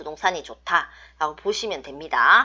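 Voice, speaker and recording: At a very slow pace and medium pitch, a woman talks in a strong Busan accent. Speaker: fortune teller / saju teacher. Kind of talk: online lecture. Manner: strong, blunt tone.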